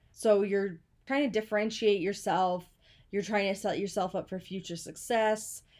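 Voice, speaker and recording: A woman's ordinary speaking voice at medium pitch, with fairly even intonation, a moderate pace and a very clean recording over a silent background. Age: 20s. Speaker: podcast host. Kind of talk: casual solo podcast talk.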